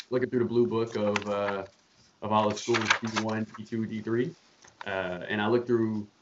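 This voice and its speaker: In an ordinary speaking voice, a man with an American accent talks at a fairly slow pace and fairly low pitch, with fairly even intonation. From Charlotte, North Carolina. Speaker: former college basketball player. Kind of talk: casual chat. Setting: video call.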